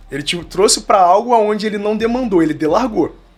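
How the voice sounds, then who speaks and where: With music in the background, a man talks at a very fast pace in a high pitch with lively intonation. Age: 20s. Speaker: digital agency founder. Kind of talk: podcast interview. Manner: animated.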